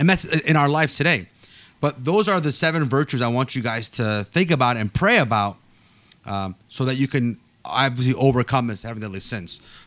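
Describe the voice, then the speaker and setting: At a fairly quick pace, a man speaks at a medium pitch in a normal speaking voice. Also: very clean recording, silent background. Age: 30s. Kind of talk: casual chat.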